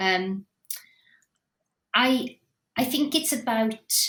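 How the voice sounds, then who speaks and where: In a Welsh accent, a woman with a fairly high pitch and ordinary pitch variation speaks at a very slow pace. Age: 50s. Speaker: theatre director. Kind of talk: podcast interview.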